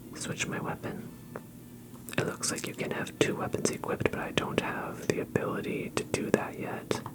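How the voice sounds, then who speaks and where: Someone whispers in a calm tone at a moderate pace, with noticeable background noise behind. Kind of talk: ASMR gaming commentary. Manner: soft-spoken, calm.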